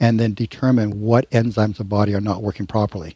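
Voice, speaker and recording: With a quiet background and a dry, close sound with no echo, a man speaks at medium pitch in a dark, mellow tone. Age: 70s. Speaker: naturopathic physician and author. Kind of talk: interview.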